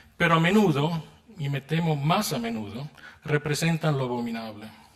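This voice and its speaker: A man with a fairly high voice speaks at a moderate pace, his intonation lively and his delivery somewhat breathy. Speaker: philosopher, keynote lecturer. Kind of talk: lecture. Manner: formal.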